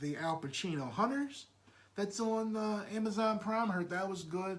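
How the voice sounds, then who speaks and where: A man speaks loudly with audible room echo. Noticeable background noise runs underneath. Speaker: podcast host. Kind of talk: casual chat. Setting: live stream at home. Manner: halting, repeats words.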